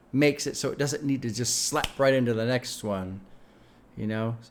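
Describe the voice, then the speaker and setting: This male speaker's voice sits at a medium pitch and shows ordinary pitch variation. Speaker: music reaction youtuber. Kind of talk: casual reaction commentary. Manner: fast.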